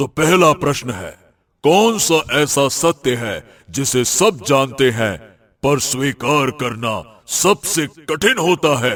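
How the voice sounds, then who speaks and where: In a cartoonish character voice, a man speaks at a fairly slow pace and a fairly high pitch. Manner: grave, imposing.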